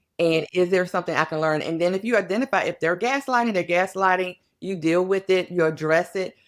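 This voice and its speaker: Ordinary pitch variation from a woman, in an ordinary speaking voice. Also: medium pitch for a woman, hardly any pauses, very clean recording, silent background. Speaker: psychologist or workplace expert, speaker. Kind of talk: podcast interview.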